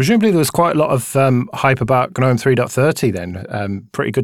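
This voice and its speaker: A man with an ordinary speaking voice talks at a fairly quick pace and medium pitch. His intonation is lively, and the recording is very clean with a silent background. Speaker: podcast co-host.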